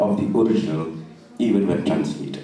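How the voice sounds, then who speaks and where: Amid noticeable background noise and audible room echo, a man speaks in a fairly low voice with a northeastern Indian accent. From Meghalaya, northeast India (Khasi). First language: Khasi. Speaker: poet on literary festival panel. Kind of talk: panel discussion.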